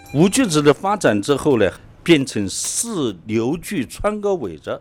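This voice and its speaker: At a fairly slow pace, a man's voice swings very widely in pitch. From Lichuan, Enshi, Hubei. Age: 60s. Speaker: folk culture researcher. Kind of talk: interview.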